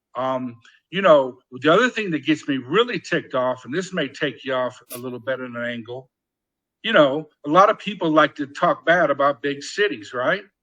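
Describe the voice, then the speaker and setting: A man with an American accent, fairly high in pitch, bright and sharp in tone, with lively intonation at a moderate pace. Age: 60s. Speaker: political activist. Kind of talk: casual chat. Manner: animated.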